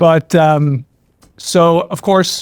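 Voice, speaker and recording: A man speaks very slowly in an American accent, his pitch fairly high and his intonation fairly even. The sound is dry and close, with no echo. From Ireland. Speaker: trial lawyer. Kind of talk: podcast interview.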